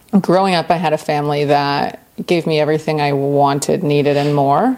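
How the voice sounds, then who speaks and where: With an American accent, a woman talks at a moderate pace in a very deep, low pitch over noticeable background noise. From US South, Central Florida. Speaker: person in addiction recovery. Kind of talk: testimony.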